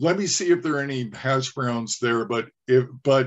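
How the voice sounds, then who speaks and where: A fairly slow pace from a man with a fairly high pitch. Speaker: trainer. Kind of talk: training session. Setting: video call. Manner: halting.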